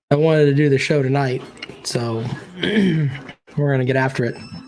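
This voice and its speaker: A man's medium-pitched voice at a moderate pace, flat and monotone, with audible room echo. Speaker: sports podcast host. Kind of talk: casual chat.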